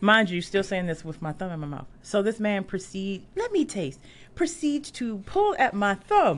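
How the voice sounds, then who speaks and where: A woman at a medium pitch with an American accent, very wide pitch swings, a moderate pace and a quiet background. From Washington, D.C. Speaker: concert photographer. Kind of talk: casual chat. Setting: studio.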